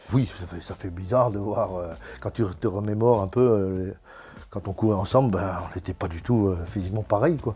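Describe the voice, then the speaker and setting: A man's fairly low voice at a moderate pace, ordinary pitch variation, music in the background. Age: 60s. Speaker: former amateur cyclist. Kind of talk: interview.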